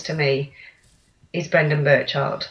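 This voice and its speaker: This is a woman speaking with an East Midlands accent. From central England, Lincolnshire. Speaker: coach and author. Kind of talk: interview.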